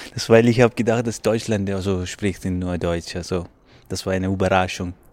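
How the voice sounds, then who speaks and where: A man with a non-native accent speaks fairly quickly at a very deep, low pitch, his intonation fairly even. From Pakistan. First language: not German (speaking German). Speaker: asylum seeker and student, choir member. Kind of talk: interview. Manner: halting.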